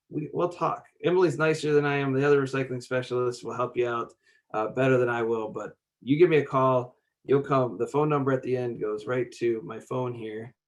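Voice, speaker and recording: At a fairly quick pace, a man with a medium pitch speaks with ordinary pitch variation. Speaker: state grant program official. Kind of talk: conference webinar presentation. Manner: fast; halting, many fillers.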